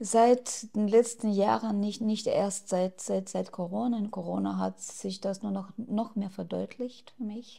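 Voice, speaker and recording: The setting is quiet. A woman speaks at a very slow pace. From Ukraine. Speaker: activist; interviewee. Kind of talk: interview. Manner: hesitant with fillers. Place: home room. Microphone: lapel.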